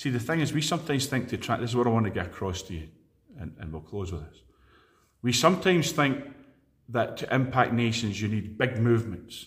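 A somewhat breathy man with a Scottish accent speaks at a medium pitch with lively intonation. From Scotland (Edinburgh). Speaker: preacher. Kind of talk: sermon.

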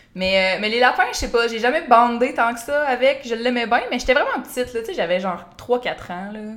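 A woman with a Quebec accent talks at a fairly quick pace with high pitch and ordinary pitch variation. Her loudness swings widely, and there is noticeable background noise. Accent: Québécois French. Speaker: YouTuber. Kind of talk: casual chat.

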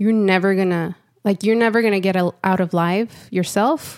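A woman has an ordinary speaking voice at a medium pitch. She keeps a moderate pace and fairly even intonation. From Southern California (Santa Ana), Mexican immigrant parents. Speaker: senior product designer. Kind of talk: casual interview. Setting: studio.

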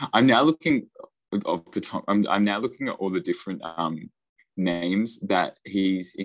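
Here a man talks at a moderate pace with a fairly low pitch and ordinary pitch variation. The sound is dry and close, without echo. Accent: Australian. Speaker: podcast co-host, physics graduate student. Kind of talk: casual chat. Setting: online call.

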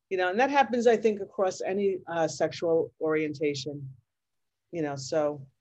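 A woman with an American accent and an unremarkable speaking voice talks at a moderate pace in a fairly low pitch with lively intonation. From Long Island, New York. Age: 60s. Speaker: teacher and LGBTQ activist. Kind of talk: interview, personal storytelling.

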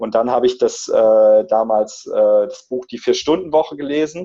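This man's loudness rises and falls in big swings. He talks fairly slowly. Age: 30s. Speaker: entrepreneur and coach, digital nomad. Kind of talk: interview. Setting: video call.

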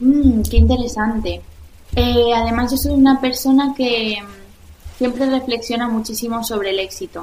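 Noticeable background noise sits behind a woman whose voice is fairly high in pitch. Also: fairly even intonation, moderate pace. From Spain, Valencia region. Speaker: restaurant founder and former dancer. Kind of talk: interview. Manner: hesitant with frequent repetitions.

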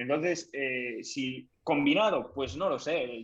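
Here a man with a normal speaking voice talks at a fairly high pitch, with ordinary pitch variation. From Galicia, Spain (O Grove, Pontevedra). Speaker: tech content creator. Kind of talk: casual interview chat. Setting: live podcast stream.

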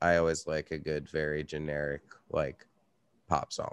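Dry and close with no echo, a man's voice moves at a moderate pace. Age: 30s. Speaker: podcast host and metal musician. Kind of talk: casual interview chat.

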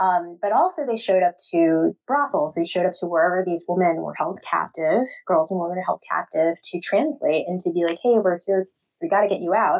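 A woman with an American accent, medium pitch, ordinary pitch variation and a fairly quick pace, an unremarkable speaking voice. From Queens, New York. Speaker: author and librarian. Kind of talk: casual interview.

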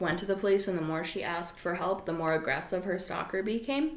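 A woman with a medium pitch talks amid noticeable background noise and audible room echo. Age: 20s. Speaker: podcast host. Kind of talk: casual chat.

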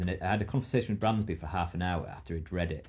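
Over a quiet background, a somewhat breathy voice with a dark, mellow tone talks at a very fast pace. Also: man. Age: 40s. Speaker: rock climber and author. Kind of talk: casual chat.

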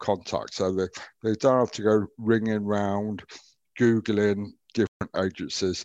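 Against a quiet background, a man with a plain, everyday voice talks at a moderate pace, fairly low in pitch and with fairly even intonation. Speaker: veterans wellbeing advisor, ex Royal Navy. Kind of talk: podcast interview.

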